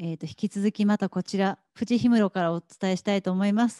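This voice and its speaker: Speech comes at a very fast pace with hardly any pauses, in a dark, mellow tone with ordinary pitch variation, on a dry sound with no echo and a quiet background. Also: woman. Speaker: event host. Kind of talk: guided gallery tour interview. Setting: gallery exhibition. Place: hall. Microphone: handheld.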